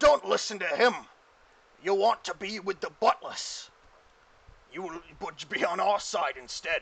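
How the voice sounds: Using a put-on character voice, a man speaks high and at a fairly slow pace, with long, frequent pauses.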